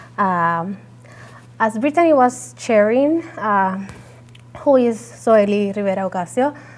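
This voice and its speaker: In a Puerto Rican accent, the speaker moves at a fairly slow pace with long, frequent pauses and very wide pitch swings. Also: woman, medium pitch for a woman. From Puerto Rico. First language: Spanish. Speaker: entrepreneur and soil scientist. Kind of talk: presentation talk. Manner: halting, many fillers.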